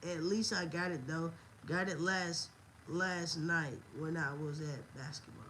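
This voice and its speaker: A woman with an American accent and a fairly low pitch talks in an animated tone at a fairly slow pace, with ordinary pitch variation and long, frequent pauses, amid noticeable background noise and audible room echo. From US South, Montgomery, Alabama. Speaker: wrestling livestreamer. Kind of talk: casual livestream chat.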